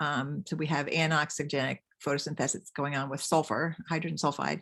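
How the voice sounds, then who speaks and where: Over a quiet background, the speaker moves at a fairly quick pace with vocal fry. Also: woman. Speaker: mycologist giving a talk. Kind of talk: lecture.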